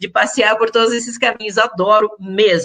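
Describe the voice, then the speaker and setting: This woman speaks at a moderate pace with fairly even intonation. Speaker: journalist and voice coach. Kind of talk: casual chat.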